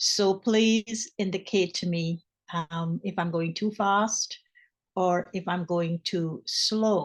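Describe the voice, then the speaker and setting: A woman's medium-pitched voice at a very slow pace, fairly even in intonation, with a dry, close sound and no echo. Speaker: spiritual teacher. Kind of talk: spiritual talk.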